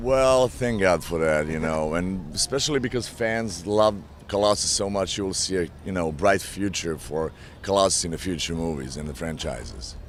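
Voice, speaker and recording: A man's very deep, low voice with a Slavic accent, lively intonation and moderate pace, over noticeable background noise. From Eastern Europe. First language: Slavic language. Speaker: actor. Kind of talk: press interview.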